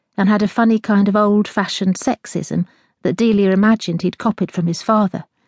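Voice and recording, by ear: Someone is reading aloud in a natural voice, with fairly even intonation over a quiet background.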